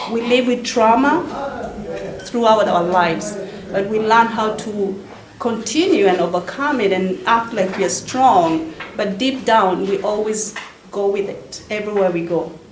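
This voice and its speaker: Over noticeable background noise and audible room echo, a woman speaks fairly slowly in a fairly high voice with ordinary pitch variation. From Africa. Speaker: author. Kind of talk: speech at book launch. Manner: halting.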